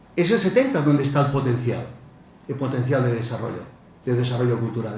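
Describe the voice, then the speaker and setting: A man's voice comes with audible room echo. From Spain, Barcelona (Catalonia). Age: 60s. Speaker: professor. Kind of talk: lecture. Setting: conference with audience. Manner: halting, with repetitions.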